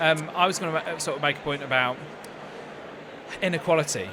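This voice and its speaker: A man with a southern English accent and a fairly high pitch talks at a very fast pace with ordinary pitch variation, yet with long, frequent pauses. Audible room echo and noticeable background noise fill the recording. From southern England (High Wycombe). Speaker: interviewer. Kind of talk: casual chat. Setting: studio at live trade show. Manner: halting.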